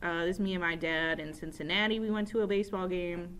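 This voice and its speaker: The speaker has an upstate New York accent and fairly even intonation. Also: woman. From upstate New York, Rochester. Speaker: teacher. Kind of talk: casual self-introduction to students. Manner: casual, with many fillers.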